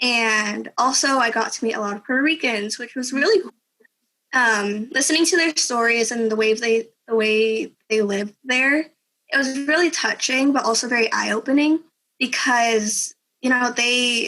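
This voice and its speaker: Her tone bright and sharp, a woman speaks at a moderate pace in a high pitch with ordinary pitch variation. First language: Spanish. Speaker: exchange student. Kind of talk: interview.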